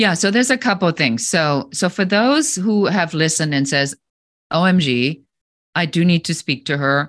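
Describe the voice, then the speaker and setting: A woman speaks at a moderate pace with a fairly low pitch and lively intonation. Her loudness stays very even against a quiet background. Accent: German. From Germany. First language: German. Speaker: business coach and entrepreneur. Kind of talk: interview.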